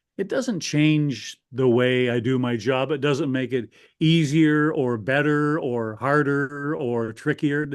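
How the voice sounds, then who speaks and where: A man with a Canadian accent has a plain, everyday voice, a fairly high pitch and ordinary pitch variation. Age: 60s. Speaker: hockey radio broadcaster. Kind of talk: podcast interview. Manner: conversational, with frequent fillers and restarts.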